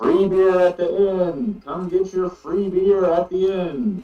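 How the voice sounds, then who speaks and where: Using a put-on character voice, a man speaks high for a man at a fairly slow pace. Faint music sits in the background. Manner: announcing, enticing.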